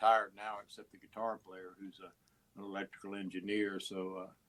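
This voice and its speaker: The speech comes at a moderate pace in a Texan accent, its intonation monotone and flat. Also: man. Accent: Texan American. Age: 70s. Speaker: musician and radio host. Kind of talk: interview. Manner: halting, many fillers and repeats.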